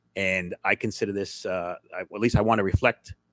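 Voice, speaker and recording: Recorded very cleanly against a silent background, with a dry, close sound and no echo, a man speaks in a plain, everyday voice at a fairly low pitch, moderate pace and fairly even intonation. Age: 60s. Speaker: school board member. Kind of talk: public meeting remarks. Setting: board meeting with audience.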